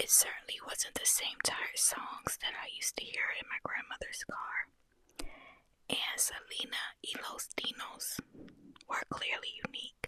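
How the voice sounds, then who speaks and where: Fairly slow whispering. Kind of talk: ASMR audiobook reading. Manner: whispered.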